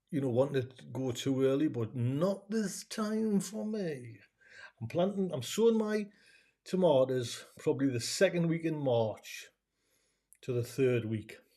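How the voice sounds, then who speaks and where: In a very clean recording with a silent background, a man's fairly high, somewhat breathy voice has a dark, mellow tone and very wide pitch swings. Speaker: gardening YouTuber. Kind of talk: live stream Q&A. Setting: live broadcast reading chat comments. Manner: casual, filler-heavy.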